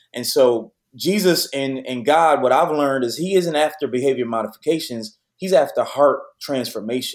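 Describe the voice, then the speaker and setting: An unremarkable speaking voice from a man, moderate in pace and with ordinary pitch variation. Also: fairly high pitch for a man. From Detroit, west side. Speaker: youth pastor. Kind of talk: interview conversation.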